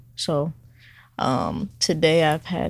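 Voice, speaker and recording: A woman with an American accent, fairly low pitch and vocal fry, at a very slow pace on a very clean recording with a silent background. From California, then Atlanta from middle school. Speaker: barber. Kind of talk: casual interview.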